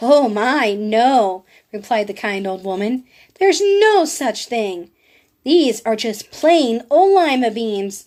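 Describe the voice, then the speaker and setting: In a put-on character voice, a woman speaks fairly slowly at a fairly high pitch with very wide pitch swings, on a very clean recording with a silent background. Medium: read story. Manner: warm, gentle.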